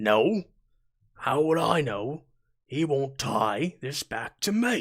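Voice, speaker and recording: A man puts on a raspy character voice, fairly high-pitched for a man, speaking very slowly with very wide pitch swings. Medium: actual play. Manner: smooth, condescending.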